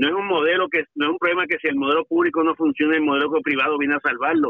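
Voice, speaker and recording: This man's high-pitched voice carries ordinary pitch variation. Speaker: union leader. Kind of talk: radio interview.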